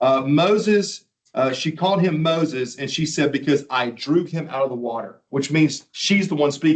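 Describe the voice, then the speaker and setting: A man with a fairly high pitch, lively intonation and an unremarkable speaking voice. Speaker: Bible teacher. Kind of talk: lecture.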